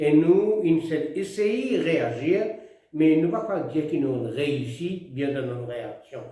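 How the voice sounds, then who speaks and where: A man talks at a very slow pace with a fairly high pitch and lively intonation. Noticeable background noise runs behind him. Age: 80s+. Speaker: retired politician. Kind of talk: address to the nation.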